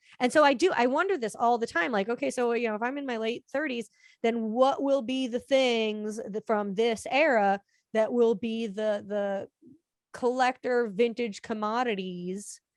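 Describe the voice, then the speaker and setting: A woman with an American accent speaks in an ordinary speaking voice, fairly high-pitched, at a moderate pace with ordinary pitch variation. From Florida. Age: 30s. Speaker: collector. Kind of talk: casual chat.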